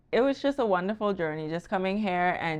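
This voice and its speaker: Against a quiet background, a woman talks with a Bahamian accent. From Bahamas. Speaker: wealth strategist. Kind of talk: casual podcast conversation.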